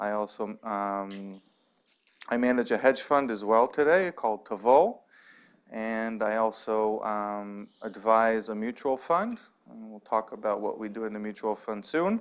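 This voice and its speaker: A man speaks at medium pitch with an American accent. His pace is fairly slow, with ordinary pitch variation and big swings in loudness. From US Pacific Northwest, Seattle. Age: 40s. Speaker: investor and fund manager giving a guest talk. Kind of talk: lecture. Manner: halting, many fillers and restarts.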